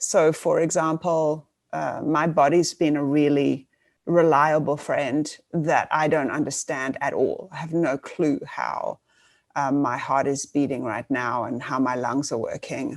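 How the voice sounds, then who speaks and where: A woman with a very deep, low pitch talks fairly slowly, keeping her intonation fairly even. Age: 60s. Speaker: former business executive. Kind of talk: casual chat.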